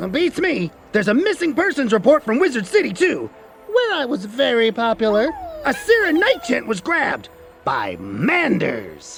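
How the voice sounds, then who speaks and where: A cartoonish character voice at a moderate pace, with faint music in the background. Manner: blunt, self-important.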